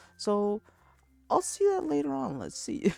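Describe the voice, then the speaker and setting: Music plays behind a man whose voice sounds dry and close, with no echo. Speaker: student. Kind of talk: school presentation. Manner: halting; casual.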